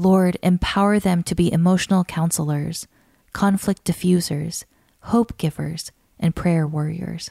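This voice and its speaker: In a very clean, dry and close recording with no echo and a silent background, a woman with a fairly low, dark, mellow and warm tone speaks at a moderate pace, somewhat breathy, with fairly even intonation. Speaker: podcast narrator. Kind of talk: scripted narration of a written prayer, read aloud as fervent intercession. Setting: studio. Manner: earnest, warm, measured cadence with rising supplication; steady, devotional, softly emphatic on lists of blessings.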